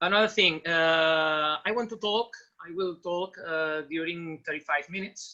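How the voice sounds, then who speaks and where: A man's high-pitched voice with a bright, sharp tone and a fairly slow pace. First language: Spanish. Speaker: basketball coach. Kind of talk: online lecture. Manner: halting.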